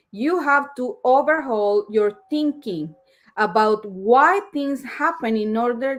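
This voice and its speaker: A woman with a strong non-native accent speaks fairly slowly at a fairly high pitch. The recording is very clean, with a silent background. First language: Spanish. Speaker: live streamer reading a self-help book. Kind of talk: reading aloud with commentary. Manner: halting.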